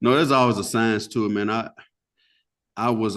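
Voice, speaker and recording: A man speaks in a Southern US accent with fairly even intonation. The background is quiet. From US South. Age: 30s. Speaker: funeral family speaker. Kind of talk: podcast interview. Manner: casual, talkative.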